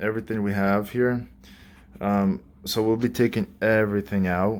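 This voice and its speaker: At a fairly slow pace, a man talks with fairly even intonation and a fairly low pitch. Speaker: renovation contractor giving a site tour. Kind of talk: casual walkthrough video. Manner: quiet, keeping voice down.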